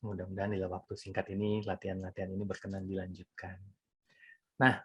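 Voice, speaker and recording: A man on a very clean recording with a silent background, the sound dry and close with no echo. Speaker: mindfulness teacher. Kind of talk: talk on mindfulness. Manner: conversational.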